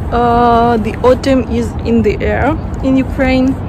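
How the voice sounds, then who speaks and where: A woman's voice sounds dry with no echo, though noticeable background noise is present. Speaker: vlogger. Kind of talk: casual vlog chat. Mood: thoughtful, slightly wry. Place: street. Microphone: phone near.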